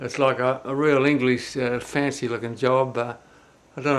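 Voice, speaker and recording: A man with an Australian accent speaks at a moderate pace in a medium pitch with fairly even intonation. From Australia, New South Wales. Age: 70s. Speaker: family video blogger. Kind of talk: personal video message. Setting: indoors, filmed on camera. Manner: halting, many fillers.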